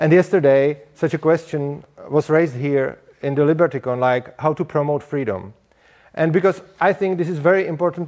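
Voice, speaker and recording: Speaking at a moderate pace in a fairly high voice, a man with a Czech accent shows ordinary pitch variation. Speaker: speaker at a liberty conference. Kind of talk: conference talk. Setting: stage with audience. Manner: halting.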